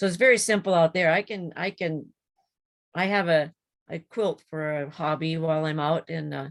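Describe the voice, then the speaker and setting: Heard in a dry, close sound with no echo, a woman with an ordinary speaking voice and a fairly low pitch talks at a moderate pace with ordinary pitch variation. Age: 60s. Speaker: support group member, emergency transport worker. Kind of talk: casual chat.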